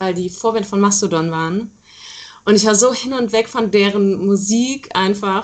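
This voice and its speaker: Medium-pitched female speech in a plain, everyday voice, fairly even in intonation and moderate in pace. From Rhineland, Germany (Aachen area). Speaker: rock band musician. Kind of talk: interview. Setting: internet call.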